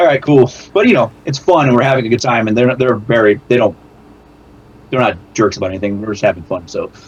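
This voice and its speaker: Somewhat breathy and very fast, a man talks in a medium pitch with lively intonation. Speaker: amateur rock musician. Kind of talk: casual chat. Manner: fast, sometimes slurred.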